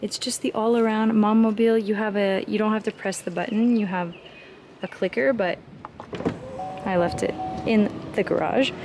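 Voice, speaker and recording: A woman speaks at a moderate pace with fairly even intonation. Background noise is noticeable. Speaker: vlogger, mom. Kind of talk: casual vlog, car tour. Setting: inside a car. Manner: casual, filler-heavy.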